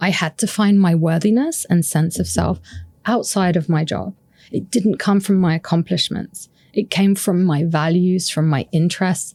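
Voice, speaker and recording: A woman's somewhat breathy voice, fairly low and dark, mellow in tone, at a moderate pace on a very clean recording with a silent background. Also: ordinary pitch variation, very even loudness. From UK. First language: French. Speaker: happiness researcher and author. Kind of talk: podcast interview.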